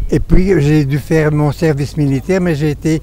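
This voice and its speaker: With noticeable background noise behind him, a man talks at a moderate pace with a fairly high pitch and fairly even intonation. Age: 80s+. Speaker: war veteran. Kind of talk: interview testimony. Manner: halting.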